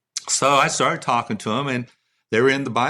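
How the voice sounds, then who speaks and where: Talking at a very fast pace, a man has a bright, sharp tone and a Texan accent. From Texas (Midland). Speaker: songwriter. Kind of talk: testimony. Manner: casual storytelling.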